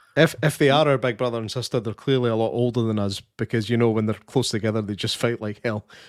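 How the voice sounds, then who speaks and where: A man with a Scottish accent speaks at a very fast pace with hardly any pauses, medium pitch and fairly even intonation on a very clean recording with a silent background. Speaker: podcast co-host. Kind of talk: live podcast interview.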